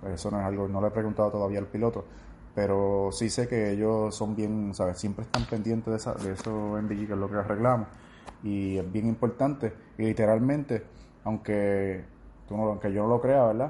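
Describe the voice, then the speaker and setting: Using a plain, everyday voice, a man with a fairly low pitch talks at a moderate pace with fairly even intonation. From Puerto Rico, Orocovis (central mountains). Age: 20s. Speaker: soldier. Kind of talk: interview.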